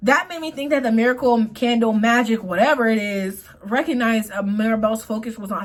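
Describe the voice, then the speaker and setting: Somewhat breathy speech at a very fast pace with ordinary pitch variation. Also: woman. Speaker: YouTuber, movie commentator. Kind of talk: movie commentary monologue. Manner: stutters when speaking; partly reading notes aloud.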